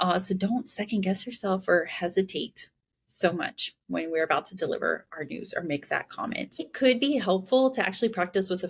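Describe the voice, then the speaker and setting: A woman with an unremarkable speaking voice, at a fairly quick pace with ordinary pitch variation. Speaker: podcast host. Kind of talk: solo podcast monologue.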